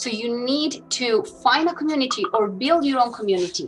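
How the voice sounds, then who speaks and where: Over background music, a woman with a strong Colombian accent speaks at a moderate pace with lively intonation. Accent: thick Colombian Spanish. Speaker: business executive. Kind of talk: interview testimony. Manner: halting, many repetitions.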